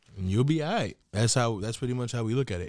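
The speaker is a man with a New York accent, talking at a fairly quick pace. The recording is very clean, its background silent. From New York, Queens. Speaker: podcast co-host. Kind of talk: casual chat.

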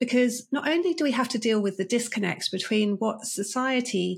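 A woman with a British accent speaks at a moderate pace, using ordinary pitch variation and vocal fry. The recording is very clean, with a silent background. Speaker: leadership coach and author. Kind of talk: interview.

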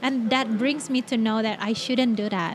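A woman with an Indonesian accent at a moderate pace, noticeable background noise behind her. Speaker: podcast host. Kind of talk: casual chat.

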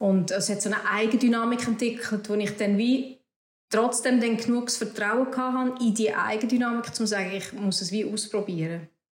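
A woman speaks with a Swiss accent. Her pitch is fairly high and her intonation fairly even. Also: moderate pace. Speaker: entrepreneur, cosmetics founder. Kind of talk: interview.

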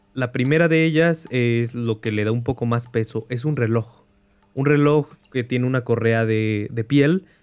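With a normal speaking voice at medium pitch, a man talks fairly slowly with ordinary pitch variation on a very clean recording with a silent background. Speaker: game master and podcast host. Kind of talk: tabletop horror narration, game master describing scenes to players.

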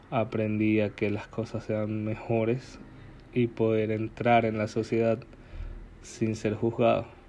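A man speaks at a medium pitch, very slowly and in a flat monotone. His tone is dark and mellow. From Ecuador, Guayaquil. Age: 20s. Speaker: podcaster. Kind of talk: personal monologue. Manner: halting.

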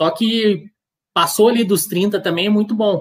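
A man talks at a fairly slow pace. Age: 30s. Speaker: amateur marathon runner and social media creator. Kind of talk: casual chat. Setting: live video stream.

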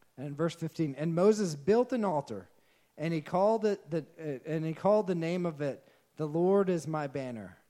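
With a Texan accent, a man talks at a moderate pace in a fairly high voice with a dark, mellow tone and ordinary pitch variation. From Texas. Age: 30s. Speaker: pastor. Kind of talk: sermon.

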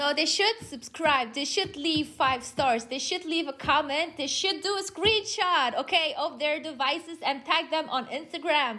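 A woman uses a raised, projected voice at a high pitch with ordinary pitch variation. She keeps a moderate pace with hardly any pauses. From Luxembourg. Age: 20s. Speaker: entrepreneur. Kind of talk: casual chat. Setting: video call. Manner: animated.

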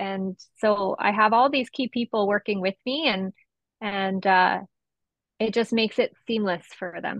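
Speaking fairly slowly in an ordinary speaking voice, a woman with a Canadian accent keeps a medium pitch and ordinary pitch variation. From Esquimalt, Vancouver Island, British Columbia, Canada. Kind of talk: casual interview conversation.

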